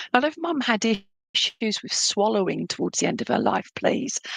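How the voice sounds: A woman puts on a croaky character voice at fairly high pitch, with lively intonation at a moderate pace, in a dry, close sound with no echo.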